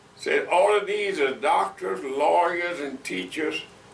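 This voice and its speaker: Very slow speech from a man, with noticeable background noise and audible room echo. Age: 80s+. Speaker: retired pastor. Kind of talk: oral history interview. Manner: halting, many fillers and repetitions.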